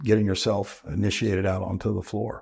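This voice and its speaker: With an American accent, a man speaks in an ordinary speaking voice at a fairly low pitch and moderate pace, his intonation fairly even, on a very clean recording with a silent background. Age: 60s. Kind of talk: interview.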